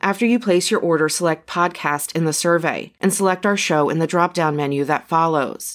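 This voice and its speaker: A woman with a normal speaking voice, fairly low pitch and ordinary pitch variation, at a fairly quick pace with very even loudness and hardly any pauses, on a very clean recording with a silent background. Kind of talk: ad testimonial. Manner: casual, conversational, personal.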